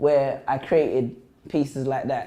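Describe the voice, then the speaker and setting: Heard with audible room echo, a man speaks at a fairly high pitch in a London accent. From London, England. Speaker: spoken word poet and motivational speaker. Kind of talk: school assembly talk. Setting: stage with audience in a school. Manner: fast; animated.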